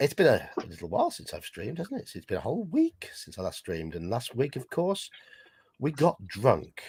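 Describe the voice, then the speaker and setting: A man with an English accent speaks in big swings of loudness. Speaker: streamer and game host. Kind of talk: live game stream chat.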